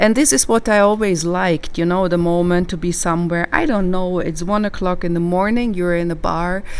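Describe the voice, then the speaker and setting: A calm tone and fairly even intonation come at a fairly quick pace. The room echo is audible. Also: woman, fairly low pitch for a woman. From southern Germany. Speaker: psychologist. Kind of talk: casual chat.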